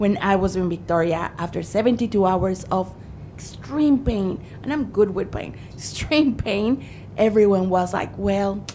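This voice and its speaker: A woman's medium-pitched voice with a strong non-native accent, ordinary pitch variation and a fairly slow pace, over noticeable background noise. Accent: thick foreign. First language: not English. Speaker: witness at a parliamentary inquiry, mother. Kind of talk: testimony. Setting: parliamentary committee hearing.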